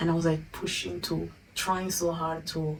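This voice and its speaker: This is a woman speaking in an Italian accent. Her pitch is fairly low. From Italy. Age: 20s. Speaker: YouTuber. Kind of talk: personal vlog.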